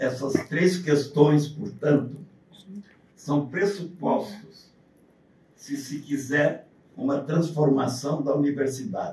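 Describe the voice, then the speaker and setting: Against audible room echo, a man with a fairly high pitch speaks very slowly in a somewhat breathy, dark, mellow tone with ordinary pitch variation. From southern Brazil. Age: 80s+. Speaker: university lecturer. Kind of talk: lecture. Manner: partly reading aloud.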